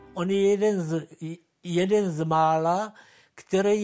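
Very slow pace with fairly even intonation. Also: man. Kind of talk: testimony, oral-history recollection. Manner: halting, hesitant, repeating words; reflective, unhurried.

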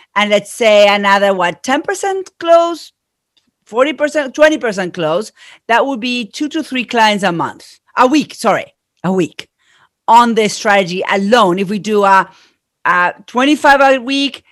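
The speaker has an Argentine accent and a fairly slow pace with very wide pitch swings. The recording is very clean, with a silent background. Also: woman, fairly high pitch for a woman. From Argentina. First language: Spanish. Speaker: marketing consultant. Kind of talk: interview.

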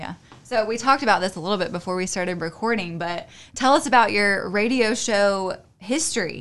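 Lively in intonation, a woman with a plain, everyday voice talks at medium pitch and a fairly quick pace. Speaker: podcast host. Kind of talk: casual interview.

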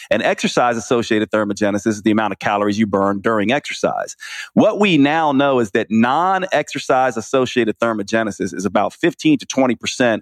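A plain, everyday voice with an American accent, fairly quick, with ordinary pitch variation and a dry, close sound free of echo. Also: man. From New York (Queens), raised partly in US South. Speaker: naturopathic physician and author. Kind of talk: interview.

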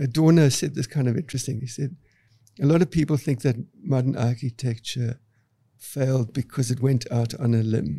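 A man talks at a moderate pace and a medium pitch, with ordinary pitch variation. His tone is dark and mellow, and somewhat breathy. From South Africa, Cape Town. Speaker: architect. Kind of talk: interview.

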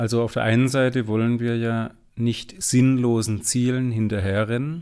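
A man's medium pitch and fairly even intonation, an ordinary speaking voice. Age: 40s. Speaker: entrepreneur and business coach. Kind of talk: interview conversation.

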